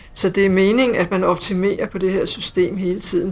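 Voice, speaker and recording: Noticeable background noise surrounds a woman talking in a medium pitch. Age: 50s. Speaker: hospital IT manager, former nurse. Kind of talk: interview.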